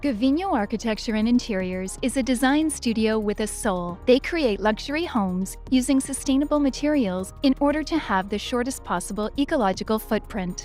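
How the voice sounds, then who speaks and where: A woman talks at a fairly quick pace in a high pitch with lively intonation and hardly any pauses. Music plays in the background. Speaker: voice actor. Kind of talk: corporate narration.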